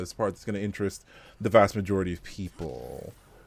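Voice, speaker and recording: Recorded very cleanly against a silent background, a man speaks at a fairly low pitch. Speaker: gaming content creator. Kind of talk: tutorial. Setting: livestream. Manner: subdued tone.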